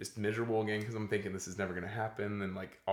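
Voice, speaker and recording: Very fast speech from a man with an American accent, a fairly low pitch and fairly even intonation. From Florida, Pensacola. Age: 20s. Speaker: weight loss athlete. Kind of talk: casual interview.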